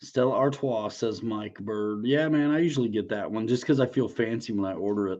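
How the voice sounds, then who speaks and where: An unremarkable speaking voice moves at a fairly quick pace with hardly any pauses. Pitch variation is ordinary. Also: man, medium pitch for a man. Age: 40s. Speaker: RC aircraft YouTuber and livestream host. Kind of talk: casual livestream chat.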